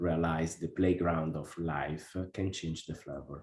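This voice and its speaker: A man with an Italian accent speaks at a fairly slow pace in a very deep, low pitch, his dark, mellow tone held to a flat monotone. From Italy, Como. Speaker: workshop participant. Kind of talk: interview. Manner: halting, many hesitations.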